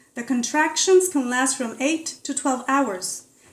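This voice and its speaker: Her voice is loud and high, and the woman's pitch moves with ordinary variation. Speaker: vegan atheist commentator. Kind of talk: opinion commentary to camera. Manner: gets louder as the video goes on.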